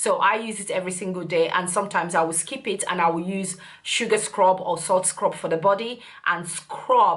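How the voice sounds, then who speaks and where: A woman's medium-pitched voice, a normal speaking voice, at a moderate pace with fairly even intonation. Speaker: beauty youtuber. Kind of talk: product review.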